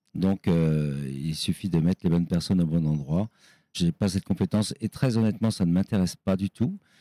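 A man with a very deep, low pitch and a dark, mellow tone, fairly quick, with very even loudness, ordinary pitch variation and a dry, close sound with no echo. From western France, Nantes. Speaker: chef and restaurant owner. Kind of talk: interview. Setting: in his restaurant.

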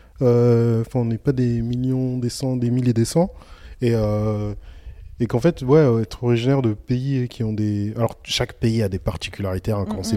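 A man's dark, mellow tone at a moderate pace. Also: medium pitch for a man. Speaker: podcaster. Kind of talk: casual chat. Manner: animated.

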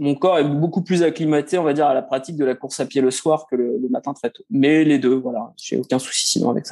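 This man has an unremarkable speaking voice, fairly high in pitch, moving at a fairly quick pace with ordinary pitch variation and hardly any pauses. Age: 40s. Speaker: amateur runner, former footballer. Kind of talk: interview.

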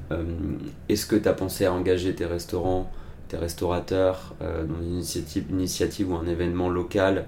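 Very deep and low in pitch, a man speaks at a fairly quick pace in a monotone, flat delivery. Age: 30s. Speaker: marketing consultant, part-time CMO. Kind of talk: interview. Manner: hesitant, with fillers.

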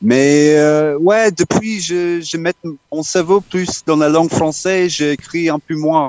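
A man in an Australian accent, high-pitched, very slow, with fairly even intonation. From Australia, Townsville. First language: English (speaking French). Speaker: musician. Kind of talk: interview. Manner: halting.

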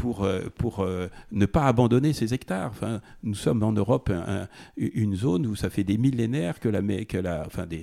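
On a very clean recording with a silent background, the voice carries a dark, mellow tone and ordinary pitch variation. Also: man. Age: 60s. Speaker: farmer. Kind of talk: interview. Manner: halting.

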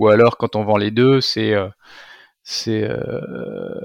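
The sound is dry and close, with no echo. A man speaks very slowly in a fairly low pitch, keeping his intonation fairly even. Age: 40s. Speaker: entrepreneur, founder of a used-book business. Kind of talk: interview. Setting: video call.

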